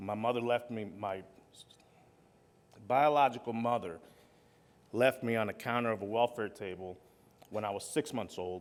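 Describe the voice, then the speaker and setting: The speaker keeps a moderate pace with ordinary pitch variation. Long pauses come often. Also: man, medium pitch for a man. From Long Island, New York. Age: 40s. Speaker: keynote speaker, recovering alcoholic. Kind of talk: keynote speech, personal testimony. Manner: partly read from notes, with fillers.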